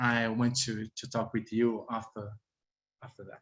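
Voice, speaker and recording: A man speaks with a Brazilian accent at a medium pitch. His pace is fairly slow. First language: Portuguese. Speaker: researcher. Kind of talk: panel presentation. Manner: halting.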